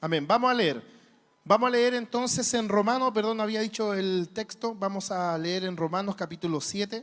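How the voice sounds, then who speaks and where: A man with a Chilean accent, high-pitched, at a moderate pace. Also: ordinary pitch variation. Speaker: preacher. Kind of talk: sermon. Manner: animated.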